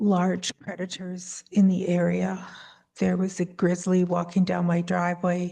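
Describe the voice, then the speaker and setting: The voice is soft-spoken and somewhat breathy, with a dark, mellow tone. It moves at a fairly slow pace. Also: woman. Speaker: applicant, alpaca farmer. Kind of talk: hearing testimony.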